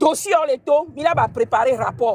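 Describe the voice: A woman's high-pitched voice with a slightly mellow tone, ordinary pitch variation, and a moderate pace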